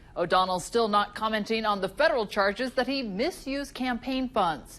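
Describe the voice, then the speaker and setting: A woman with an American accent and a plain, everyday voice, fairly high in pitch, with lively intonation at a moderate pace. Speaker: TV news anchor and reporter. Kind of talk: TV news anchor read. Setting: studio.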